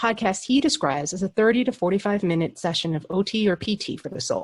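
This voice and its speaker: Lively intonation and a somewhat breathy quality run through this very fast-paced speech. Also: woman, medium pitch for a woman. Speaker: podcast host. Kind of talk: podcast interview.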